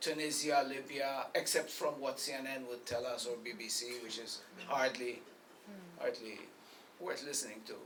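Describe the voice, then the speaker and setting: Noticeable background noise surrounds a man speaking at a moderate pace. His pitch is fairly high and his intonation fairly even. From Malta. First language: Maltese. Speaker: poet. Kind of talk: panel discussion at book launch.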